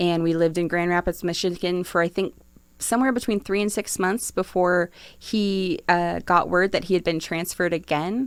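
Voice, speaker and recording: In an American accent, a woman with a plain, everyday voice and a fairly low pitch speaks at a moderate pace with fairly even intonation on a very clean recording with a silent background. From New Jersey. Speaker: city economic development official. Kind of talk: podcast interview. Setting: studio.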